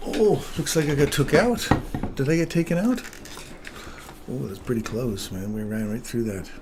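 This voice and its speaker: Over noticeable background noise, a man's voice swings very widely in pitch, broken by long, frequent pauses. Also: medium pitch for a man, moderate pace. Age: 60s. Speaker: day trader streaming live trades. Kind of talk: live trading commentary with chat.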